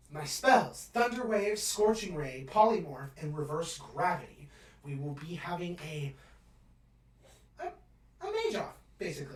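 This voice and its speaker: A man does a put-on character voice at a high pitch. He keeps a moderate pace. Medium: actual play. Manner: mellow, casual, dude-speak.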